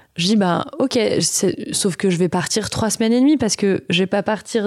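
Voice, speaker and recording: In a very clean recording with a silent background, a woman speaks in a medium pitch. Her pitch varies in an ordinary way. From Auvergne, France (Vichy). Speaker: entrepreneur, founder of a baby products company. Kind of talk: interview conversation. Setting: studio, host's offices.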